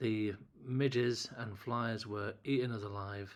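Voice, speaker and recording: A man with an English accent talks at a medium pitch. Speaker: landscape photographer. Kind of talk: casual talk to camera. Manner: halting, word-finding pauses.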